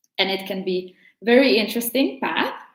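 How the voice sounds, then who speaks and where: A woman speaks with a Latvian accent. Her pace is moderate and her pitch varies in an ordinary way. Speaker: tarot teacher. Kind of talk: casual tutorial.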